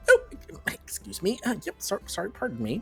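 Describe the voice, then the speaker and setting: A man performs a put-on character voice at a fairly quick pace. Clear music plays behind him. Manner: polite and apologetic.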